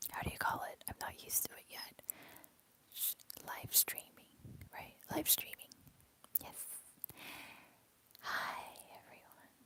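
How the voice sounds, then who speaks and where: A woman whispers at a fairly slow pace with long, frequent pauses and big swings in loudness, over noticeable background noise. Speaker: ASMR streamer. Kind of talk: ASMR live stream chat. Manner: whispering.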